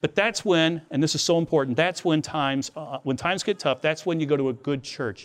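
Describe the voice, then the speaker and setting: An unremarkable speaking voice, this man talks at a fairly high pitch with ordinary pitch variation against a quiet background. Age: 60s. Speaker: Bible teacher. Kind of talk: devotional lecture. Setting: outdoors.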